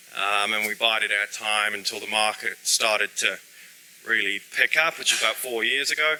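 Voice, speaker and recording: Speaking at a moderate pace, a man with a fairly low pitch shows ordinary pitch variation over noticeable background noise. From UK. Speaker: solar company founder. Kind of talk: webinar presentation. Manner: hesitant, many fillers.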